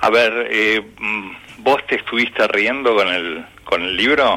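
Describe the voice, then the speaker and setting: A man with a medium-pitched voice and ordinary pitch variation speaks at a very slow pace over noticeable background noise. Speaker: retired teacher and author. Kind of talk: casual chat.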